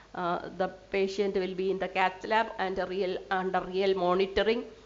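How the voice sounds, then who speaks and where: Fairly slow speech from a woman of medium pitch, with audible room echo. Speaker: scientist presenting research. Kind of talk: lecture. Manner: halting.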